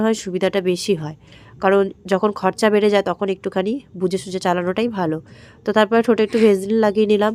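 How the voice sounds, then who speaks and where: A woman at medium pitch speaks in a monotone, flat way, with a dry, close sound, no echo, and a very clean recording over a silent background. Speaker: daily life vlogger. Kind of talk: vlog voice-over narration. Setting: at home, partly outdoors.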